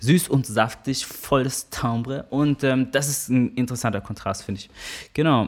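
This man speaks in an ordinary speaking voice at medium pitch and a moderate pace, with ordinary pitch variation and big swings in loudness, on a very clean recording with a silent background. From Germany, Karlsruhe area (Baden). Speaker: musician and percussionist. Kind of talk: interview.

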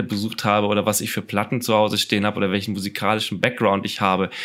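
A man talks at a medium pitch. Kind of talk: casual interview. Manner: halting, many fillers.

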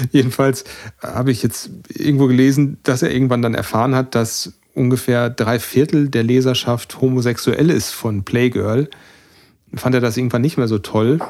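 A man talks at a moderate pace in an unremarkable speaking voice, medium in pitch, with fairly even intonation and very even loudness on a very clean recording with a silent background. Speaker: podcast co-host. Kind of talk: casual chat.

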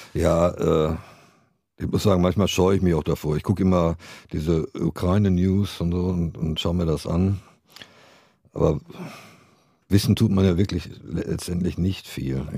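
A man speaks in a very deep, low voice with a dark, mellow tone. He goes at a fairly slow pace with fairly even intonation and long, frequent pauses. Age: 60s. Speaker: rock guitarist and songwriter. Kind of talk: interview, casual chat. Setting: small studio, live podcast.

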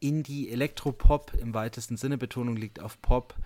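Captured in a very clean recording with a silent background, a man with a normal speaking voice talks at a moderate pace and medium pitch. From Franconia, Bamberg. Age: 30s. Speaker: podcast host and teacher. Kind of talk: casual chat.

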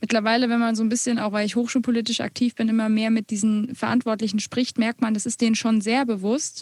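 A woman speaks at a very fast pace in a fairly high pitch, somewhat breathy, with monotone, flat intonation, very even loudness and hardly any pauses. The sound is dry and close, with no echo. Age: 20s. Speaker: music student and blogger, podcast co-host. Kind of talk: casual podcast conversation.

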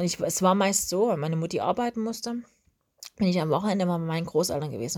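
On a very clean recording with a silent background, a woman talks at a very fast pace. Her pitch is fairly low, with ordinary variation. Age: 30s. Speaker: podcast host. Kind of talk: casual monologue.

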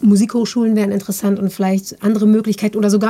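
A woman's fairly high voice at a very fast pace. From Germany, near Bielefeld/Detmold (East Westphalia). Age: 30s. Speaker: backing singer. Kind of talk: casual chat.

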